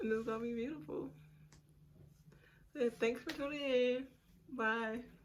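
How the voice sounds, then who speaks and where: The speaker moves at a moderate pace with lively intonation, and noticeable background noise is present. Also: woman, high pitch for a woman. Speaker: beauty vlogger. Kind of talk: hair tutorial. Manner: casual, chatty.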